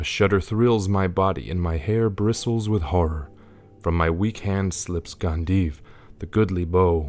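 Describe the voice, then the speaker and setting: With music in the background, a man talks at a fairly slow pace in a very deep, low pitch with ordinary pitch variation. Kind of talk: audiobook-style scripture reading.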